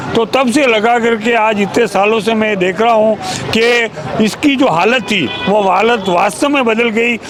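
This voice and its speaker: A man speaks in a high pitch with ordinary pitch variation and very even loudness. Noticeable background noise runs under his voice. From India, Udaipur, Rajasthan. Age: 70s. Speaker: pensioners' association office-bearer, local resident. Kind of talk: street interview.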